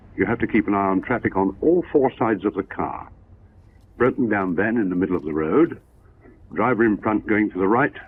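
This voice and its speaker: Speaking fairly quickly with a Gloucestershire accent, a man with a fairly low voice uses lively intonation. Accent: posh Gloucestershire, rhotic. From Gloucestershire, England. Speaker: driving instructor, advanced motoring examiner. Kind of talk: 1960s sponsored film driving commentary.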